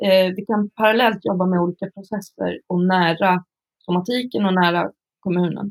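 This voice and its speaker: A woman with a plain, everyday voice, medium pitch, fairly even intonation and a fairly slow pace in a dry, close sound with no echo. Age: 40s. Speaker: psychiatric care worker, author and lecturer. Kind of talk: casual interview conversation.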